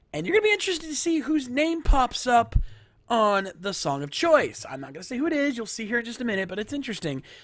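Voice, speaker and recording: An animated tone at a very fast pace, with very wide pitch swings and big swings in loudness. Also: man, extremely high pitch for a man. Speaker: livestream host. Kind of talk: live stream commentary. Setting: live stream.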